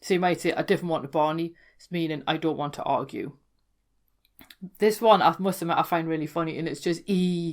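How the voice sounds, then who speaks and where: In a very clean recording with a silent background, a woman with a Geordie accent speaks at a fairly quick pace and a fairly low pitch, her intonation fairly even while her loudness swings widely. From Newcastle, North East England. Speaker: folklore podcaster. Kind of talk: casual explanatory talk to camera.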